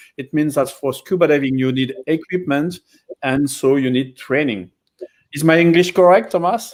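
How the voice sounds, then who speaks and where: With a strong French accent, a man speaks at a moderate pace. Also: fairly high pitch for a man, ordinary pitch variation. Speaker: dive center operator. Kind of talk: live educational stream. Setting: live online stream.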